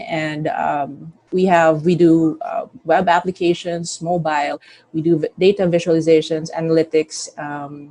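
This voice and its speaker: An unremarkable speaking voice, a woman's, fairly low in pitch and at a fairly slow pace. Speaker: company CEO. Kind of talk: company presentation.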